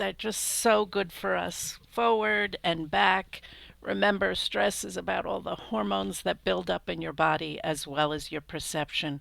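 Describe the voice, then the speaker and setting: A woman speaks at a fairly slow pace with a very deep, low pitch and vocal fry. Her pitch swings very widely. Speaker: crisis mental health trainer. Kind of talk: training webinar wrap-up.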